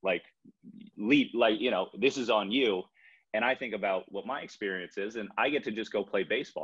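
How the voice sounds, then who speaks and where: A man with an American accent at a moderate pace, against a quiet background. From Chevy Chase, Maryland; Maryland. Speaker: baseball pitcher; pitcher in a panel discussion. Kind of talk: panel discussion. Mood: earnest, reflective. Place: home room. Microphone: video call.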